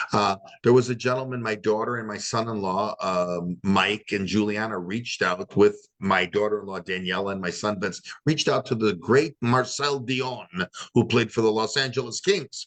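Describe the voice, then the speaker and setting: A man speaks with a Chicago accent at a fairly low pitch. His pace is moderate and his pitch variation ordinary. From Chicago area, US Midwest. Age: 60s. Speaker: retired hockey player and podcast host. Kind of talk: interview. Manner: animated.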